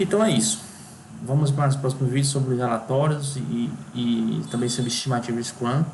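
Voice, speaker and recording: Lively intonation marks this man's medium-pitched voice, heard with audible room echo and noticeable background noise. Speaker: software engineering instructor. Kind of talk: tutorial. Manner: fast; halting.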